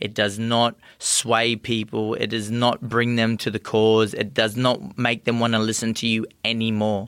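The speaker has an Australian accent. Delivery is monotone and flat, at a fairly slow pace. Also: man, medium pitch for a man, very clean recording, silent background. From far north Queensland, Australia. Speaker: professional boxer. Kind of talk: interview.

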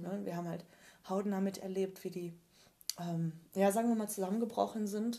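A woman's somewhat breathy, medium-pitched voice with monotone, flat intonation. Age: 30s. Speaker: colour and style consultant. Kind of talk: interview about personal grief experiences. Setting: in person at her home.

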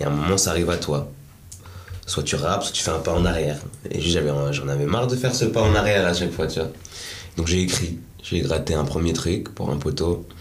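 A man's very deep, low voice at a fairly quick pace with ordinary pitch variation and long, frequent pauses, plus audible room echo and noticeable background noise. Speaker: rapper and musician. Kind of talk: casual interview. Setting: studio.

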